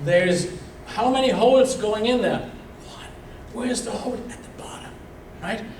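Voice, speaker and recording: Noticeable background noise and audible room echo fill this recording of a man with an extremely high pitch. He keeps a moderate pace with long, frequent pauses, big swings in loudness and ordinary pitch variation. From Germany. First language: German. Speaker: veterinarian and bee researcher. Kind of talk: lecture. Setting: club meeting with slides. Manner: animated.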